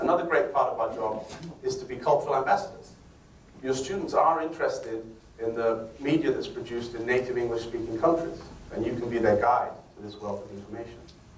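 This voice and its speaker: A man talking at a very fast pace, with big swings in loudness, audible room echo and noticeable background noise. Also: medium pitch for a man, ordinary pitch variation. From northern England. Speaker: English teacher giving a lecture. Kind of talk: lecture.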